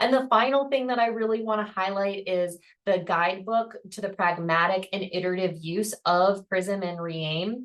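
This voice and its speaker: At a moderate pace and with hardly any pauses, a woman with an unremarkable speaking voice talks at a medium pitch with ordinary pitch variation. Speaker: professor. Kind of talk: webinar presentation.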